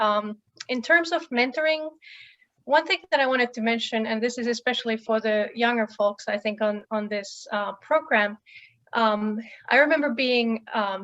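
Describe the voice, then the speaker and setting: A woman speaks at a moderate pace with a fairly high pitch. Her pitch varies in an ordinary way. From Finland. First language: Finnish. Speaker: professor. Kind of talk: panel introduction talk.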